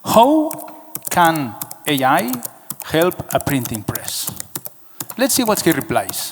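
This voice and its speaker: Amid noticeable background noise, a man speaks at a very slow pace with long, frequent pauses and very wide pitch swings. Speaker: packaging business manager, conference speaker. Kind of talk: conference presentation. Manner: halting, repetitive.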